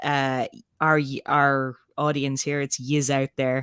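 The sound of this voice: Speaking slowly with a Dublin accent, a woman has an extremely low pitch and little pitch movement. Her tone is clear and smooth. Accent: Irish, Dublin.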